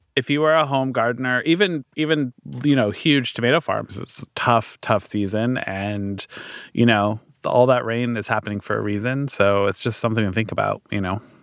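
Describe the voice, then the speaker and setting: In a very clean recording with a silent background and a dry, close sound with no echo, a man uses a normal speaking voice at medium pitch, moderate pace and ordinary pitch variation. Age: 40s. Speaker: cookbook author and food influencer. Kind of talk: casual chat.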